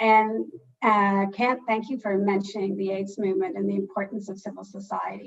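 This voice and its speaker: Using an ordinary speaking voice, a woman talks at a moderate pace and medium pitch with fairly even intonation. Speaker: philanthropy funder. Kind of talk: panel discussion.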